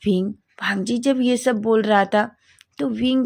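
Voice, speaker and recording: Her voice is fairly high and somewhat breathy. The woman speaks very slowly, with ordinary pitch variation. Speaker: story narrator. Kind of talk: story narration. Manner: halting.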